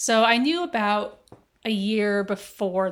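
In an American accent, a woman talks at medium pitch in a normal speaking voice with ordinary pitch variation. The recording is very clean, with a silent background. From Las Vegas, US. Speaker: healthcare operations executive. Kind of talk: casual interview chat. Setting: in person, seated next to host.

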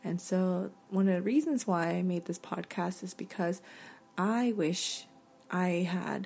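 A somewhat breathy voice with a dark, mellow tone and an American accent. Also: woman. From North Carolina, US South. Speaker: podcast host. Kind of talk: casual interview conversation.

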